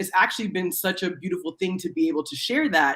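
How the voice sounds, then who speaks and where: In an American accent, a woman with a medium pitch talks at a very fast pace, her tone animated and her pitch variation ordinary. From USA. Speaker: TV host and panel guest. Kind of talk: panel discussion.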